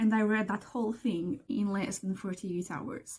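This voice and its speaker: A woman with a non-native accent, a dark, mellow tone and a somewhat breathy quality, at a moderate pace. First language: not English. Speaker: book vlogger. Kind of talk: casual vlog talk. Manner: animated, excitable; halting with repetitions.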